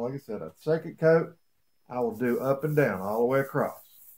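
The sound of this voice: A man talks at a moderate pace with a slightly mellow tone.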